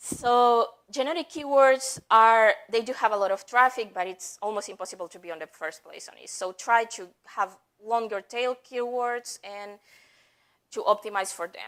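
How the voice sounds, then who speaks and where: A woman with a non-native accent speaks at a moderate pace in a fairly high voice, with ordinary pitch variation and big swings in loudness. The recording is very clean, with a silent background. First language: not English. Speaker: head of marketing at a software company, conference speaker. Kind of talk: conference talk.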